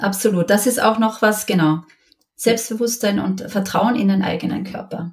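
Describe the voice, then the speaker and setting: Using a plain, everyday voice, a woman talks with fairly even intonation at a moderate pace and a medium pitch. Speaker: mother sharing her experience. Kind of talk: interview, personal testimony.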